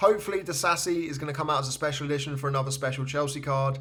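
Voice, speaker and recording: Amid noticeable background noise, a man with an English accent and a fairly high pitch talks at a very fast pace. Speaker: fantasy football card collector youtuber. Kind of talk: casual commentary while opening cards. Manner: enthusiastic.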